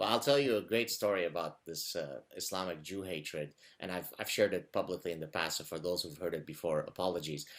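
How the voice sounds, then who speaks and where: A man with a very deep, low pitch speaks in an Arabic accent with ordinary pitch variation. His pace is very fast, with hardly any pauses. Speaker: interview show host. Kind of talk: interview.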